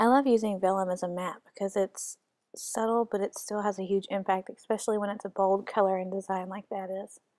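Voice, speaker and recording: A woman speaks quietly at a fairly quick pace. Her intonation is monotone and flat, and the sound is dry and close with no echo. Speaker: scrapbooking hobbyist. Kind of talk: tutorial. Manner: hesitant with fillers.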